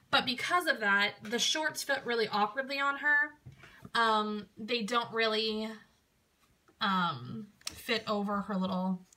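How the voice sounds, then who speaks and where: Loud and bright with a sharp tone, a woman speaks at a fairly high pitch and a very slow pace, with lively intonation and long, frequent pauses. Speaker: doll reviewer. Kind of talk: product review. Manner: loud breathing.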